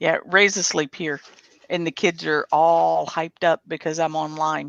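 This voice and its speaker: A woman's very deep, low voice at a fairly slow pace, monotone and flat in intonation. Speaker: livestream host. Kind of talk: casual chat. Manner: loud.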